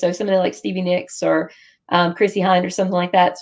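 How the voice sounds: A woman speaks at a fairly quick pace in a gravelly, fairly low voice with little pitch movement.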